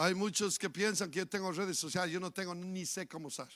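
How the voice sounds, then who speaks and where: On a very clean recording, with a silent background, a man is talking. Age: 60s. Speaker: pastor. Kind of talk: sermon.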